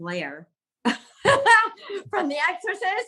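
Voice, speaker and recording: A woman speaks very slowly in a raised, projected voice with a bright, sharp tone. Her pitch swings very widely. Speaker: actress. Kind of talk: interview answer.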